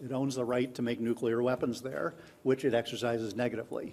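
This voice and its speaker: A man speaks at a medium pitch. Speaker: conference speaker on online learning. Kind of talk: conference talk. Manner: fast; hesitant, many fillers and repeats.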